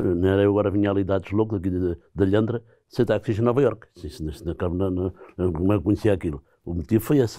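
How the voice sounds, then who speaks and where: In a quiet background, a man talks fairly quickly with a fairly low pitch and a dark, mellow tone. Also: ordinary pitch variation. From Portugal, Ribatejo; Portugal. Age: 70s. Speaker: retired aircraft mechanic and former taxi driver; interviewee. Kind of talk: interview. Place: studio. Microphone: lapel.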